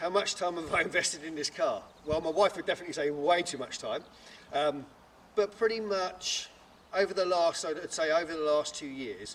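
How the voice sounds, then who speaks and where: A man speaks loud and at a fairly quick pace. His pitch is high, with ordinary variation. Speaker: car enthusiast and YouTuber. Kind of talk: documentary interview.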